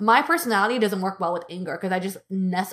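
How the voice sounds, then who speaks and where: A woman with an American accent, very fast pace, animated tone and lively intonation. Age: 30s. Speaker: podcast co-host, guest. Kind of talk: casual chat. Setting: remote recording.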